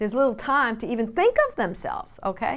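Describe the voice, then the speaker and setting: A woman speaks with a New York accent. Her pace is fairly quick. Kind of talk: faith-based teaching talk. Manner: conversational with frequent fillers.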